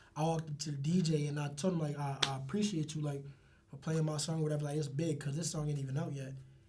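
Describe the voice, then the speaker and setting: The speech comes at a very fast pace. Room echo is audible, and background noise is noticeable. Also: man, fairly high pitch for a man. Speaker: rapper. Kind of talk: casual interview chat. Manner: animated.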